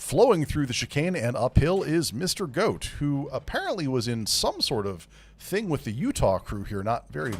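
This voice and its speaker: Noticeable background noise surrounds a man's speech. He keeps a moderate pace with hardly any pauses. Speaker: sim racing broadcast commentator. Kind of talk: live commentary. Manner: loud.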